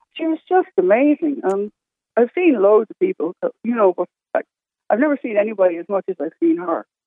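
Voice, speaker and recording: A woman with an Irish accent talks fairly quickly at a fairly high pitch, with very wide pitch swings and big swings in loudness. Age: 60s. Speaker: caller. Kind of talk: casual chat. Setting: phone call.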